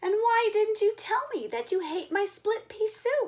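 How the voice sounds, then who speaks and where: In a squeaky, put-on character voice, a woman speaks at an extremely high pitch and a moderate pace with fairly even intonation. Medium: read story.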